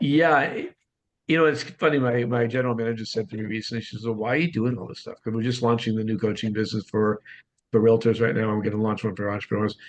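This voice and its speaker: A man speaks very fast with a Boston accent. His medium-pitched voice has fairly even intonation. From US Northeast, Boston. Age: 60s. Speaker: real estate coach and author. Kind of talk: podcast interview.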